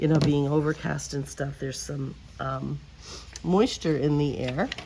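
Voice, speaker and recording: A woman talks at a fairly slow pace. Room echo can be heard in the recording. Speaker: crafting video creator. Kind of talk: crafting tutorial. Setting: outdoors at the edge of a garage.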